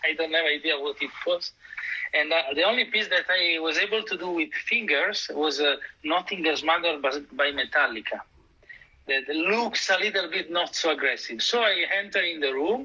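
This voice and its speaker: A man's high voice at a moderate pace, with ordinary pitch variation and noticeable background noise. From Italy, near Milan. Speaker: conductor and double bass player. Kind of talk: interview.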